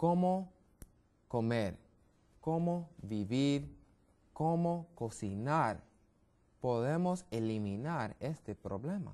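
A man with an American accent speaks very slowly in a dark, mellow tone. His pitch swings very widely, and he leaves long, frequent pauses. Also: fairly high pitch for a man. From US, Brooklyn, New York; New York. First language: English (speaking Spanish). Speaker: medical missionary, health educator; guest. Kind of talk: TV health interview; interview answer. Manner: halting, many fillers and repetitions. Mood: friendly, smiling, explanatory. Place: studio. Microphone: lapel.

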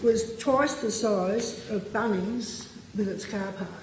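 A woman talks with an Australian accent. Noticeable background noise and audible room echo fill the recording. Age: 70s. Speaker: local resident giving evidence at a public hearing. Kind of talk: public testimony. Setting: parliamentary committee hearing.

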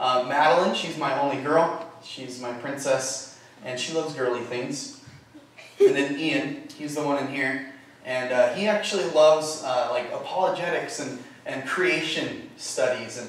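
Strong room echo surrounds a man whose voice shows big swings in loudness. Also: ordinary pitch variation, fairly slow pace. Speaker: guest. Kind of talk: sermon. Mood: warm, light humor. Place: church.

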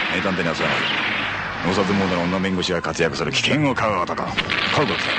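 Noticeable background noise sits under a man talking at a very fast pace. His pitch is very deep and low, and his loudness stays very even. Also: ordinary pitch variation. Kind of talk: TV drama trailer narration. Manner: casual, roguish.

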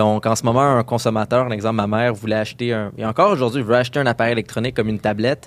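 A man's medium-pitched voice at a very fast pace. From Quebec, Montreal area. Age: 20s. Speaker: UX designer. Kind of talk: interview.

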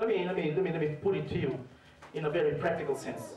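Speaking at a fairly quick pace with a fairly high pitch, a man shows ordinary pitch variation amid light background noise and audible room echo. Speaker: preacher. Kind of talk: sermon. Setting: church. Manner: animated, fervent preaching with call-and-response, urging the congregation to say amen. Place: church.

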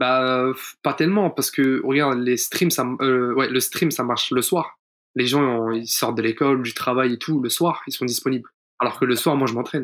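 Using a normal speaking voice, the man keeps a medium pitch, a moderate pace and fairly even intonation. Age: 20s. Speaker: pro esports player. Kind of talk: casual interview.

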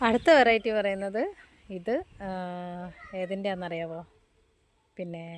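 Her medium pitch and fairly even intonation give this woman an unremarkable speaking voice. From Kerala, Kozhikode. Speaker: plant seller and vlogger. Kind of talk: sales pitch. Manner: casual chatty.

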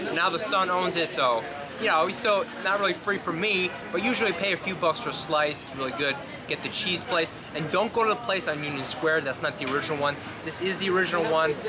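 Noticeable background noise sits behind a man with an American accent and a high pitch. He talks at a fairly quick pace with ordinary pitch variation. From New York City, Greenwich Village; New York City. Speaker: tour guide. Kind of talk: walking tour vlog. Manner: casual. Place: street.

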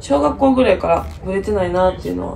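A woman talks at a fairly quick pace. Light background noise can be heard. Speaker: medical student vlogger. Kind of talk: casual vlog chat. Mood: relaxed, reflective, sleepy morning. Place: home room. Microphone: phone near.

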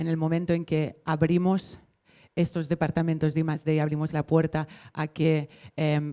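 Against a quiet background, a woman speaks in a monotone, flat delivery with a dark, mellow tone and a very deep, low pitch. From Barcelona. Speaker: maker community manager; panelist. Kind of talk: panel discussion. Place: hall. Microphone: handheld.

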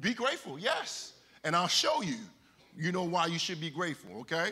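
The intonation is lively. Its tone is bright and sharp. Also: man. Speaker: preacher. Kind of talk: sermon. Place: church.

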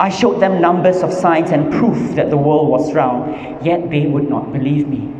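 A man talks at a moderate pace with ordinary pitch variation. Audible room echo and light background noise surround him. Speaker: stand-up comedian. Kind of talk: stand-up comedy. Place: hall. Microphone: handheld.

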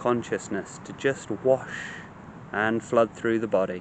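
A man's soothing voice at a fairly slow pace, dry with no echo, over light background noise. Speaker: meditation teacher. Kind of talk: guided meditation, gentle spoken instruction to a listener. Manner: slow, soothing, compassionate cadence with repeated calming phrases; hesitant in places, repeating words mid-thought. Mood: calm, gentle, soothing. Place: garden. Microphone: phone near.

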